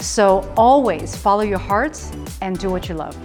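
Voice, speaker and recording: A woman at a moderate pace, with music playing in the background. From Hong Kong, raised in small-town USA. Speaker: TV presenter and MC. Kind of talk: interview answer.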